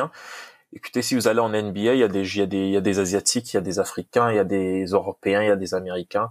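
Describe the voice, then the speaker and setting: The speaker has an unremarkable speaking voice with ordinary pitch variation at a fairly quick pace. The sound is dry and close, with no echo. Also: man. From DR Congo. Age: young. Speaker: football coach. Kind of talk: interview.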